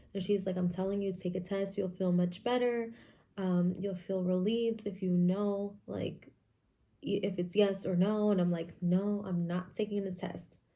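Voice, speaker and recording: Soft-spoken and at a moderate pace, a woman talks at medium pitch in a dark, mellow tone with monotone, flat intonation. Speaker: vlogger. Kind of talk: casual chat. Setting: at home in kitchen.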